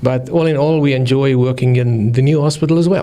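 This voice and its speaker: Noticeable background noise accompanies a man of medium pitch speaking with a South African accent. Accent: Afrikaans South African. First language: Afrikaans. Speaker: anesthesiologist. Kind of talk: interview. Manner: halting.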